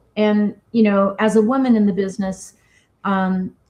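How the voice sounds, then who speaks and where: A fairly high-pitched, somewhat breathy woman's voice with a dark, mellow tone, an American accent, and a fairly slow pace. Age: 50s. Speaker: cidermaker and business founder. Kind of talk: interview.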